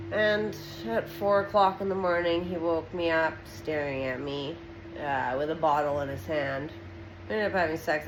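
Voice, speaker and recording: A woman speaks at a moderate pace with lively intonation and a very deep, low pitch. The room echo is audible, and background noise is noticeable. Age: 30s. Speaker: social media vlogger. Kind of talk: personal testimony. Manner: halting, many fillers.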